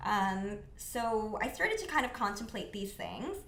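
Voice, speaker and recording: Audible room echo surrounds a woman with a Canadian accent. She speaks at a moderate pace with a fairly high pitch. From Canada, Mississauga, Ontario. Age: 20s. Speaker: non-profit founder. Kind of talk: casual interview. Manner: casual, many fillers.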